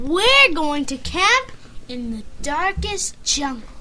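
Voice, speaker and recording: A put-on character voice speaks at a high pitch and a very slow pace. Clear background noise runs underneath. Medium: read story. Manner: lively, bright.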